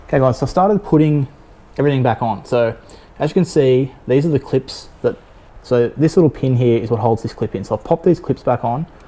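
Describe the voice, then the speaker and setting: This man has an Australian accent and a dark, mellow tone. He talks at a fairly quick pace. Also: medium pitch for a man, ordinary pitch variation. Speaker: car enthusiast youtuber. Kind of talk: tutorial. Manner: halting; casual.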